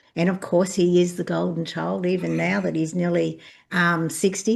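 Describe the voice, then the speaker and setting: A woman with an Australian accent speaks at a moderate pace and a fairly low pitch over a quiet background. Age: 60s. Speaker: birth mother sharing lived experience. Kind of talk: personal testimony in conversation.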